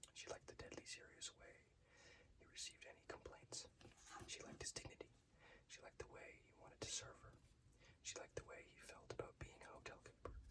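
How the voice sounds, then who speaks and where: Whispering comes at a very fast pace. Long pauses break it up frequently. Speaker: ASMR reader. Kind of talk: short story reading. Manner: whispered.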